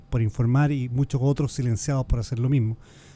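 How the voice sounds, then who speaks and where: With a medium pitch and a dark, mellow tone, a man speaks very fast in a flat monotone. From Chile. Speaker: organized crime expert. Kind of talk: radio interview.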